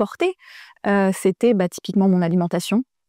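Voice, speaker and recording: Recorded dry and close with no echo, a woman speaks at a medium pitch in a dark, mellow tone. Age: 40s. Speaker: sculptor, artist. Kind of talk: interview testimony. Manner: halting, many hesitations.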